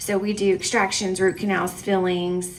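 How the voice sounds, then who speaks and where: Noticeable background noise behind a woman's medium-pitched, flat, monotone voice at a moderate pace. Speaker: nonprofit clinic representative. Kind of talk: public speech. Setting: chamber breakfast event.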